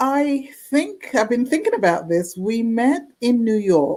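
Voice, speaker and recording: In a British accent, a woman with a dark, mellow tone speaks at a fairly slow pace using lively intonation. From London, England (Jamaican-born). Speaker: forensic document examiner and author. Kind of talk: casual interview chat.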